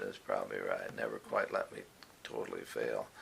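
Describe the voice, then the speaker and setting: Over noticeable background noise, someone speaks at a moderate pace with an American accent. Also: man. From Indiana, USA. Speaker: retired university professor and administrator. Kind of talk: oral history interview answer.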